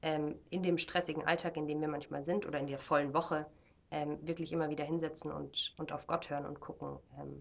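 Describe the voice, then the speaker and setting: The intonation is flat and monotone. Vocal fry runs through the voice. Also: woman. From Germany. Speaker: missionary, discipleship school leader. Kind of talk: casual interview.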